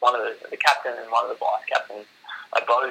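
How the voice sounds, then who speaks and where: A man speaks over noticeable background noise. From Australia, Shoalhaven NSW. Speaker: para footballer. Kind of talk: interview.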